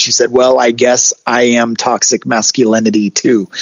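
Medium-pitched man with an American accent at a moderate pace, noticeable background noise. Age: 40s. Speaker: college professor and lowrider enthusiast. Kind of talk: interview. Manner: casual, many fillers like you know.

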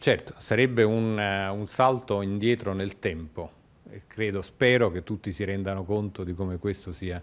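Fairly even intonation and a moderate pace from a man with a fairly low pitch. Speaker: foreign correspondent. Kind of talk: live news report. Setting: outdoors. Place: office. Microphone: handheld.

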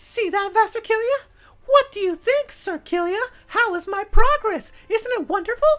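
A female-sounding put-on character voice speaks at a moderate pace and an extremely high pitch. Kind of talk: casual gameplay commentary. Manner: haughty, boastful.

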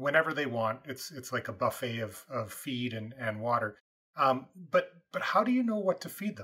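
With a Canadian accent, a man at medium pitch talks at a moderate pace in a bright, sharp tone, his lively intonation carrying big swings in loudness against a quiet background. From Canadian Prairies. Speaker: podcast host and farmer. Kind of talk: interview. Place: home room.

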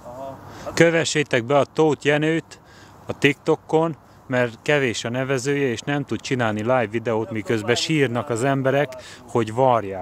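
Over light background noise, a man talks with big swings in loudness and ordinary pitch variation, the sound dry with no echo. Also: moderate pace. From Hungary. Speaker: fishing competition organizer and vlogger; vlogger. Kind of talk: live walkaround vlog. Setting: outdoors at a fishing lake. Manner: casual, chatty greetings. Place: waterside. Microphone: phone near.

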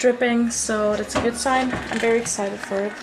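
Music plays in the background. The speaker goes at a fairly slow pace with fairly even intonation. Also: woman. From Austria. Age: young. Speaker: au pair. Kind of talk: casual vlog talk to camera. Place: kitchen. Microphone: phone near.

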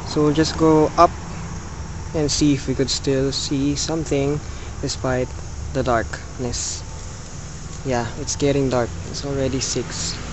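The speaker talks at a fairly slow pace with long, frequent pauses. Noticeable background noise is present. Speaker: travel vlogger. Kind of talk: casual vlog chat. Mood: amused, a bit frustrated. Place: open country. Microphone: phone near.

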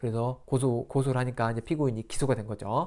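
A man speaks over a quiet background. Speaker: lawyer explaining court rulings. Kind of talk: tutorial. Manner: casual, filler-heavy explanation. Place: home room.

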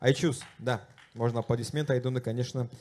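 In a dark, mellow tone, a man talks at a moderate pace. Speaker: moderator, TV journalist. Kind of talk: panel moderation. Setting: festival stage with audience. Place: stage. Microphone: handheld.

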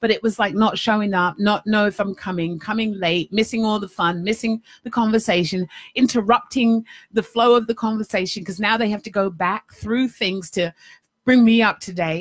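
A woman's fairly high, somewhat breathy voice against a quiet background. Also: moderate pace. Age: 50s. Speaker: life coach and radio host. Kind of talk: live-streamed talk show monologue. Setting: studio with webcam live stream. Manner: animated. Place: home room. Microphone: studio mic.

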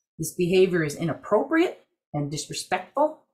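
The voice is somewhat breathy, with an American accent. It moves at a moderate pace against a quiet background. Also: woman. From Wisconsin, Ojibwe community. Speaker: Native tobacco program director, army veteran; presenter. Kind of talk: webinar presentation. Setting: video call.

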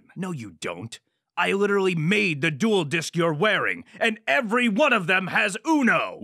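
A man uses a raised, projected voice with a high pitch and very wide pitch swings. His moderate pace comes through in a very clean recording with a silent background. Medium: comedy sketch. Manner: haughty, exasperated, shouting.

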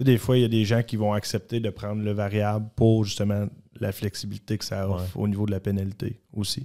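A man talks at a fairly quick pace in a dark, mellow tone. His intonation is monotone and flat, and the background is quiet. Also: fairly low pitch for a man. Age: 30s. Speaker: mortgage specialist, former junior hockey player; guest. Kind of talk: casual interview chat. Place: studio. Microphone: studio mic.

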